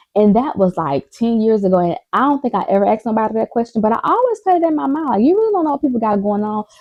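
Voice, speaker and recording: A loud, very fast woman's voice, animated in tone, with very wide pitch swings and hardly any pauses. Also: fairly high pitch for a woman. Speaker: vlogger. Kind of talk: casual chat.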